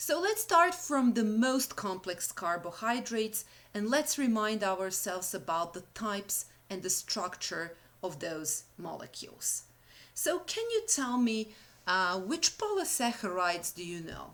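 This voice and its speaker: In a Serbian accent, a woman with a fairly high pitch talks at a fairly slow pace, her voice making very wide pitch swings and big swings in loudness. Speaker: university lecturer. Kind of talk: lecture. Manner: halting.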